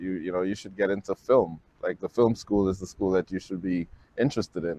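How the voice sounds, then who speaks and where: A man with a Guyanese accent at a fairly quick pace, ordinary pitch variation, and a dry, close sound with no echo. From Guyana. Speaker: filmmaker. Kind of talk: personal testimony.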